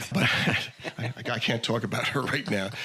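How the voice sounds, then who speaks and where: This man has an American accent. Noticeable background noise is present throughout. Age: 70s. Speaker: wine educator and author. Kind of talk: casual chat. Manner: animated.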